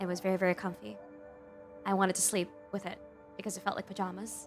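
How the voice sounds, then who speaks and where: A woman speaks at a medium pitch. Music can be heard in the background. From Philippines. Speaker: VTuber and digital artist. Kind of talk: casual talk to camera, ASMR stream.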